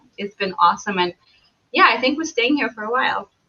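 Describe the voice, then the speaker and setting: A woman with a Belarusian accent, a bright, sharp tone and lively intonation. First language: Belarusian or Russian. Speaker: travel blogger. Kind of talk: casual interview chat.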